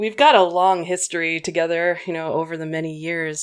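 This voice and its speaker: On a very clean recording with a silent background, a woman speaks in a plain, everyday voice, fairly low in pitch, at a moderate pace. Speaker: podcast co-host.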